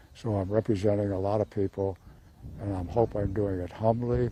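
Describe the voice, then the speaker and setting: In an American accent, a man speaks at a moderate pace with a dark, mellow, somewhat breathy tone. His voice sits fairly low and stays monotone and flat. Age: 90s. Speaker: war veteran. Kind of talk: testimony.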